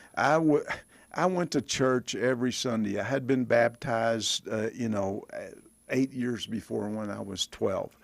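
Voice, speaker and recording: Speaking with a Texan accent, a man keeps a medium pitch with ordinary variation at a fairly slow pace. The recording is very clean, with a silent background. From Texas (Bonham). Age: 70s. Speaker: former pro football player. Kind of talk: interview.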